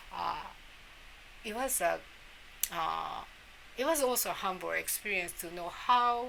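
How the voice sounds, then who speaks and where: A woman with a Japanese accent, over noticeable background noise. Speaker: immunology professor. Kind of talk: interview. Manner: halting.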